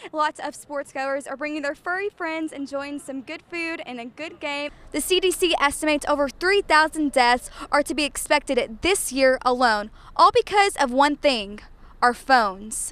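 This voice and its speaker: A woman with an American accent speaks at a high pitch and a moderate pace. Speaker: TV reporter and anchor. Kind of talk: local TV news reporter voiceover. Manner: polished, broadcast delivery.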